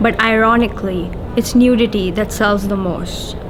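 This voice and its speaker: A woman with a fairly high pitch at a moderate pace, with fairly even intonation, audible room echo and noticeable background noise. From India, Mumbai. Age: 20s. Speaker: poet. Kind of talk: interview; poetry reading.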